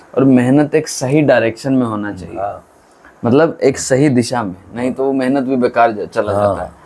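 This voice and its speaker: Dark and mellow in tone, a man's voice moves at a moderate pace with ordinary pitch variation. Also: medium pitch for a man. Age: 20s. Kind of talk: interviewer questions.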